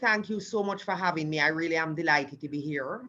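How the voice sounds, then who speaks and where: In a Caribbean accent, a woman talks with a bright, sharp tone, lively intonation and a very deep, low pitch. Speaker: law professor. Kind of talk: panel discussion. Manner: hesitant fillers.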